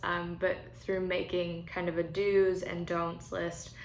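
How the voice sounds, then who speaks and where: A woman with a General American accent, fairly low and monotone with flat intonation, fairly slow, in audible room echo. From Colorado. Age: 20s. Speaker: churchgoer sharing faith practice. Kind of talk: testimony. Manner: casual, with frequent fillers.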